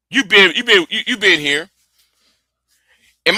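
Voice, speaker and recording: Raising and projecting his voice, a man speaks with a bright, sharp tone. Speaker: live stream debater. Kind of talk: heated debate. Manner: halting, repeats words.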